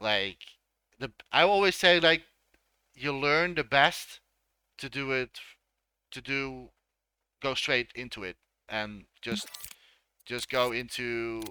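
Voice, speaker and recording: A man speaks very slowly with long, frequent pauses, his bright, sharp, medium-pitched voice full of lively intonation and dry, close sound with no echo. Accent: Dutch. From Netherlands. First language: Dutch. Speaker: game creator and streamer. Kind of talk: live stream tutorial. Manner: halting.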